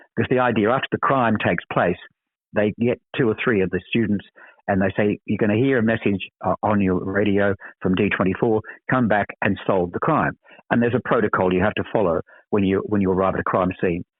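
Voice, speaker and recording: A man with an Australian accent talks at a fairly quick pace in a fairly low pitch. His loudness stays very even and his intonation fairly even. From Australia, Sydney. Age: 70s. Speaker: actor. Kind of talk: interview. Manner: halting, frequent repetitions.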